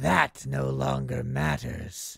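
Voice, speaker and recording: In a put-on character voice, a man talks raspy and very deep, with a low pitch. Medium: read story. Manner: calm, composed, smugly triumphant.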